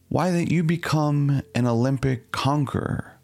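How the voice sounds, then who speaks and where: A man with a fairly high pitch and a calm tone talks at a very slow pace, his intonation lively. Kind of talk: scripted reading aloud of a philosophical text, contemplative Lectio Divina style. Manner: measured, calm, meditative.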